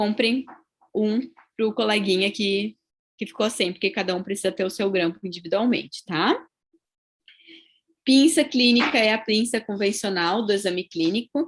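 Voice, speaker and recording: Someone with a southern Brazilian accent talks at a moderate pace with ordinary pitch variation, leaving long, frequent pauses. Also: woman, fairly high pitch for a woman. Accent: gaúcho (southern Brazilian). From southern Brazil, Rio Grande do Sul. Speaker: dentistry professor. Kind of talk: lecture. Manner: conversational, frequent tag 'tá?'.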